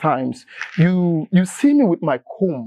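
With very wide pitch swings, a man with a high pitch and a dark, mellow tone speaks at a moderate pace, the sound dry with no echo and the background quiet. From Nigeria, Benue State. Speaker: classical tenor singer; talk show guest. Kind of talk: interview conversation. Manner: halting. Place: studio. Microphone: lapel.

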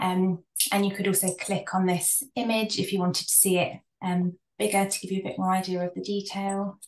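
A woman at medium pitch with a British accent, fairly quick pace, fairly even intonation and audible room echo. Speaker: research psychologist and counsellor. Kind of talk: presentation. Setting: video call. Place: home room. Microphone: video call.

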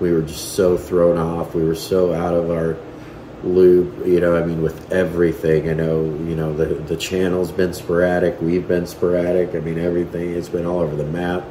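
Over noticeable background noise and audible room echo, a man with a very deep, low pitch talks at a moderate pace in a monotone, flat delivery. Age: 30s. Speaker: family vlogger. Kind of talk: casual chat. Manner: halting.

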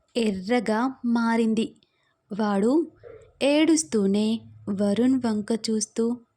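Against quiet surroundings, the speaker reads aloud in a natural voice.

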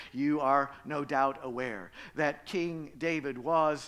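His pitch varies in an ordinary way. The man keeps to a fairly slow pace. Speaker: pastor. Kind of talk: sermon. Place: church. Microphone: headset.

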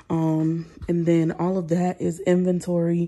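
A woman speaks at a fairly low pitch with a dark, mellow tone. The background is quiet. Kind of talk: casual vlog chat. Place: garage. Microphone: phone near.

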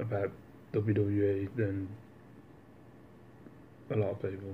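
A somewhat breathy man's voice, fairly low in pitch, over light background noise. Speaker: vlogger. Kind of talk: casual vlog chat. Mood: relaxed, joking. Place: home room. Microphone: phone near.

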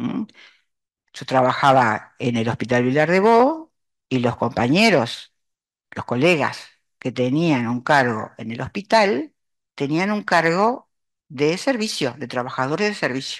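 A woman's very deep, low voice with very wide pitch swings, fairly slow with long, frequent pauses, in a quiet background. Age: old. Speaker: retired psychology professor. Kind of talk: academic presentation. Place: classroom.

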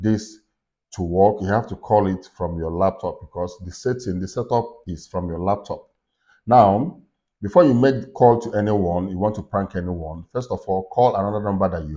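Against a quiet background, a man with an ordinary speaking voice talks at a fairly low pitch, his loudness swinging widely. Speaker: tech tutorial creator. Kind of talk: tutorial.

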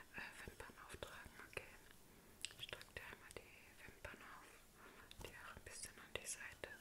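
Whispering continues at a moderate pace. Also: woman. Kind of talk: soft personal-attention role play. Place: home room. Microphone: phone near.

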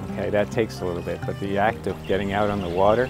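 Over clear background music, a man speaks at a fairly quick pace in a dry sound with no echo. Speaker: fishing guide. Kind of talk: interview answer. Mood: warm, enthusiastic. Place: open country.

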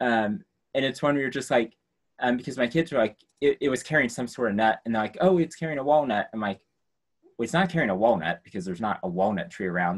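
With an American accent, a man talks at a very fast pace with lively intonation. The background is quiet. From rural US. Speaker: science education professor. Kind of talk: lecture. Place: classroom. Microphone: video call.

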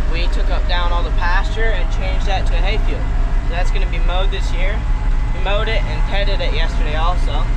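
A man's voice comes through over loud background noise. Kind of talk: casual vlog chat. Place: farm machine. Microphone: camera far.

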